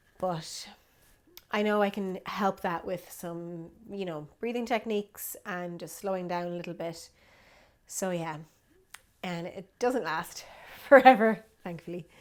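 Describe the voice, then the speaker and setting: A woman with an Irish accent speaks at a medium pitch with ordinary pitch variation, big swings in loudness and long, frequent pauses, on a very clean recording with a silent background. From Ireland. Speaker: vlogger and yoga teacher. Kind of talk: casual vlog update.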